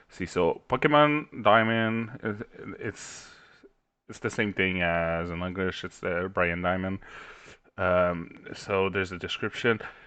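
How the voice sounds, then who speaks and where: Speaking at a fairly slow pace, a man with a French accent has a very deep, low voice. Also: big swings in loudness. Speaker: gaming YouTuber. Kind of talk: tutorial. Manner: halting.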